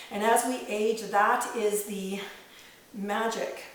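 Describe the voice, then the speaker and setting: A woman talks at a medium pitch. Noticeable background noise and audible room echo fill the recording. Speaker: fitness trainer. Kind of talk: exercise tutorial. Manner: casual, conversational; counting reps aloud.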